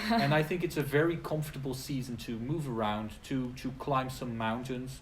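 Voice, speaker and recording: A man speaks at a medium pitch and a moderate pace, his voice somewhat breathy with ordinary pitch variation, and the room echo is audible. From Netherlands. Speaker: English teacher. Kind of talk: casual chat. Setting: live stream video.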